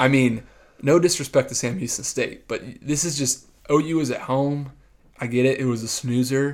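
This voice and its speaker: A man with an American accent and an unremarkable speaking voice, medium pitch, fairly even intonation and a moderate pace. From Texas, San Antonio. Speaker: sports podcast co-host. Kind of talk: casual chat.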